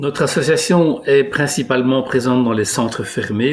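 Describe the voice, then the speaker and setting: Noticeable background noise accompanies a man speaking at a moderate pace, his pitch varying in an ordinary way. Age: 60s. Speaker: director of a refugee aid association. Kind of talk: video testimony. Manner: hesitant, many filler sounds.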